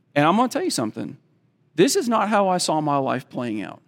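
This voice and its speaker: A man is speaking. The recording is very clean, and the background is silent. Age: 40s. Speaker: guest preacher. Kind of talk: sermon.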